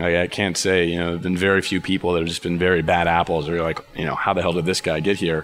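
Against noticeable background noise, a man with an American accent speaks at a very deep, low pitch. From Texas (Dallas). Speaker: marketing manager at a tech company. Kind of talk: interview conversation. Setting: company office. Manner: hesitant, many fillers.

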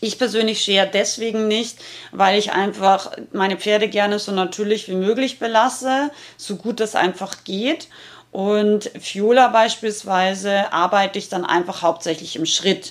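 At a fairly slow pace, a woman talks with a medium pitch and fairly even intonation. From Austria, Rauris in the Salzburg mountains. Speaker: horse health expert and trainer. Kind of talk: solo podcast monologue.

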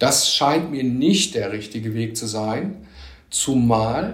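With lively intonation, a man at medium pitch speaks very slowly in a somewhat breathy voice, with audible room echo. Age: 50s. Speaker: economist. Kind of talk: interview.

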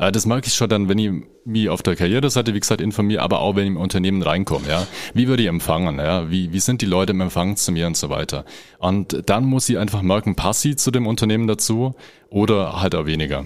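A man's fairly low voice at a very fast pace. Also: ordinary pitch variation. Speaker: HR manager. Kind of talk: interview answers. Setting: studio.

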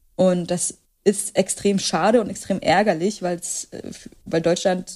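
Here a woman speaks with an unremarkable speaking voice. Her pitch is medium and her intonation fairly even. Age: 20s. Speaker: author and journalist. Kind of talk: casual interview.

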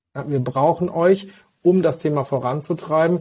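A man's dark, mellow tone comes through somewhat breathy, with ordinary pitch variation at a moderate pace. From Westphalia, Germany (Hagen). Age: 40s. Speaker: physician and health-tech executive. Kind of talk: interview.

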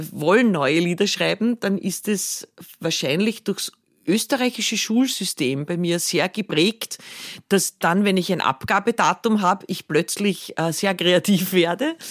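Someone with a Viennese accent speaks at a fairly slow pace with ordinary pitch variation, in a dry, close sound with no echo. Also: woman. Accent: Viennese Austrian German. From Austria, Vienna region. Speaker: singer-songwriter. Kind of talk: casual interview.

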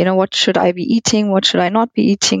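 A woman's ordinary speaking voice at a medium pitch, with fairly even intonation. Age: 30s. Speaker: gynecologist. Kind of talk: interview.

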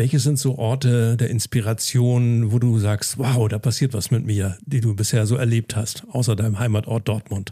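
A man speaks at a moderate pace with fairly even intonation, hardly any pauses, a somewhat breathy quality and a dark, mellow tone. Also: medium pitch for a man. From northern Germany, Lauenburg an der Elbe. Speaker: podcast host. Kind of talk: casual interview; podcast promo. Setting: hotel in Hamburg.

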